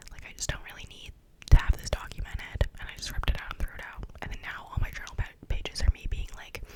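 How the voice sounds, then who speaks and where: Against noticeable background noise, a woman whispers at a very fast pace with big swings in loudness. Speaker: ASMR youtuber. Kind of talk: casual monologue. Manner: animated.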